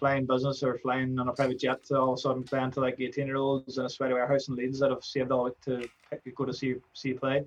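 The speaker talks at a very fast pace in an Irish accent. The intonation stays monotone and flat. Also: man, medium pitch for a man. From Ireland. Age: 20s. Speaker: DJ and music producer. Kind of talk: casual chat.

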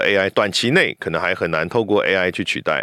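Recorded very cleanly against a silent background, a man with a Taiwanese accent speaks in a dry, close sound with no echo. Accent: Taiwanese Mandarin. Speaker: voice actor. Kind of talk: casual chat.

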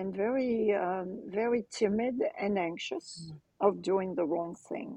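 With a French accent, a woman speaks at a fairly slow pace in a dark, mellow tone. Her medium pitch carries lively intonation. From France, Cannes. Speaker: transformation coach and author. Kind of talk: interview.

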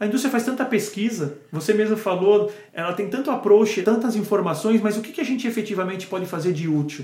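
Speaking at a fairly quick pace, a man with a high voice uses ordinary pitch variation amid noticeable background noise and audible room echo. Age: 40s. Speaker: pharmaceutical sales manager. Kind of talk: casual interview chat.

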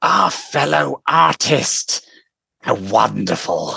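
Speaking at a very slow pace, a man has a very deep, low pitch.

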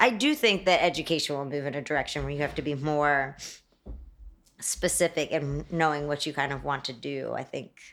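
Her voice is very deep and low for a woman, and she talks at a fairly quick pace. The recording is very clean, with a silent background. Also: ordinary pitch variation. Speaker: interior designer. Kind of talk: casual interview. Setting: studio.

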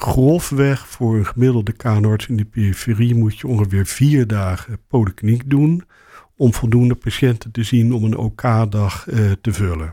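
A man talks at a moderate pace in a medium pitch with ordinary pitch variation, his tone dark, mellow and somewhat breathy. The recording is very clean, with a silent background. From Rotterdam, Netherlands. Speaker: ENT surgeon and professor. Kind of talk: interview.

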